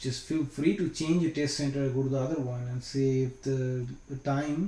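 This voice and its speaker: A man speaks at a moderate pace and a fairly high pitch, with a dark, mellow tone. His voice is somewhat breathy, and his intonation is monotone and flat. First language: not English. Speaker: IT certification trainer. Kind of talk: screen-share tutorial. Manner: casual, hesitant with fillers.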